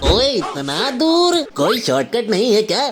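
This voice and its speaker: In a cartoonish character voice, a man speaks at an extremely high pitch with very wide pitch swings. His pace is moderate, and there is clear background noise. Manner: casual, clerk-like.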